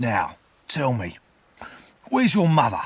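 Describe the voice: Gravelly and growling with a slightly husky edge, this put-on character voice moves slowly through very wide pitch swings. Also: man, medium pitch for a man.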